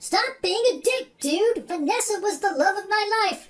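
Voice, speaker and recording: This man puts on a character voice that sounds whiny. His pitch is extremely high. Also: moderate pace. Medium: comedy sketch. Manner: whiny, indignant, says dude constantly.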